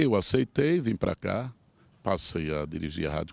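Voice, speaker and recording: At a moderate pace, a man with a fairly low pitch speaks with very wide pitch swings in a very clean, dry, close recording with a silent background and no echo. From Sergipe, Brazil (Japaratuba). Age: 70s. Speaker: veteran broadcaster and politician. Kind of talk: interview.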